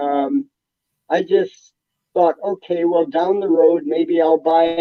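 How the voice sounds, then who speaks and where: At a fairly slow pace, a man with a high pitch talks with ordinary pitch variation. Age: 80s+. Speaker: comic book collector. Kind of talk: interview storytelling.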